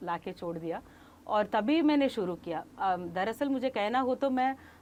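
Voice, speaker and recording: A woman's fairly high voice with lively intonation. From Tamil Nadu, India. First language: Kannada (speaking Hindi). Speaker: Hindi book promoter, scholar. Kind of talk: interview.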